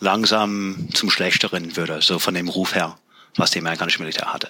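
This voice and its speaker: A man's voice over noticeable background noise. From US, Pennsylvania (near York). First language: English (speaking German). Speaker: Air Force veteran. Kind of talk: casual interview.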